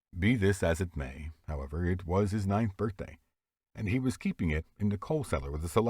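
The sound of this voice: Lively intonation in an unforced reading voice, with a quiet background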